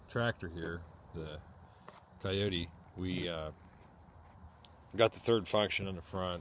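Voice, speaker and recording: The sound is dry with no echo, with light background noise. A man talks at a fairly slow pace with ordinary pitch variation. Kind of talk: casual vlog chat. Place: farm machine. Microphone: phone near.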